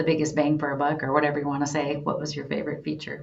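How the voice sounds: A woman with a low pitch speaks with vocal fry, and room echo is audible.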